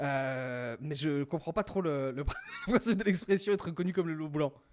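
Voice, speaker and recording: Noticeable background noise surrounds a man's voice. He speaks at a moderate pace with lively intonation. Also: fairly high pitch for a man. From rural France. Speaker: podcast host drawing game show. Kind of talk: casual chat. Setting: livestream with chat. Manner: hesitant, many fillers.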